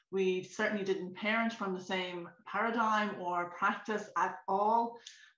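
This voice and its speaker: A woman's monotone, flat delivery at a moderate pace, with audible room echo and a quiet background. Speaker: remote interview guest. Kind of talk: interview answer. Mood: reflective, personal. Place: home room. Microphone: video call.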